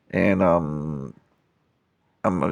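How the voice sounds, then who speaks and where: Vocal fry runs through a voice with ordinary pitch variation, heard over a quiet background. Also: man. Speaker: toy customizer youtuber. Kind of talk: casual vlog. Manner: halting, many fillers.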